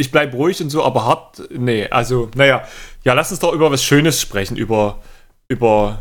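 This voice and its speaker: A man talks at a moderate pace with a medium pitch and a plain, everyday voice. The recording is very clean, with a silent background. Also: ordinary pitch variation. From northern Germany, Kiel. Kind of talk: casual chat.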